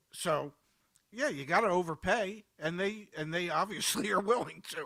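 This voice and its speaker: Projecting a raised voice, a man speaks at a moderate pace in a high pitch with a bright, sharp tone and ordinary pitch variation. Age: 70s. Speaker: car market commentator. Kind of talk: casual panel chat. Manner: halting, repeats words.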